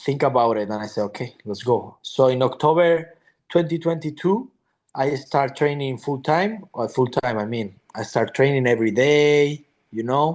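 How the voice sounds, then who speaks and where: Speaking at a fairly slow pace, a man talks with a Spanish accent. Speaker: MMA fighter. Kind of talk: interview. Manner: halting.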